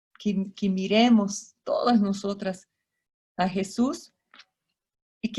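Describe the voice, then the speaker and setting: Very slowly, a woman speaks in a somewhat breathy voice at a medium pitch, with a dark, mellow tone and fairly even intonation. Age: 60s. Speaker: missionary speaker. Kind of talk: sermon.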